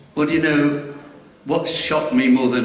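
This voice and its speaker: A man with an English accent, audible room echo and noticeable background noise. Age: 70s. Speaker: fan club secretary. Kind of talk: live stage interview. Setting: stage with audience.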